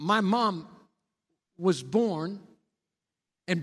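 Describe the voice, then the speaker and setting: A man with a Texan accent, high in pitch, with ordinary pitch variation. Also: very clean recording, silent background. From Texas, Cisco. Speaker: pastor. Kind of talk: sermon. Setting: church.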